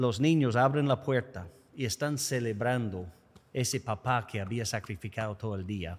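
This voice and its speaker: A man with an English accent speaks at a moderate pace. His pitch moves in an ordinary way. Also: medium pitch for a man. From United States. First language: English (speaking Spanish). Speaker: podcast host. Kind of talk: interview conversation.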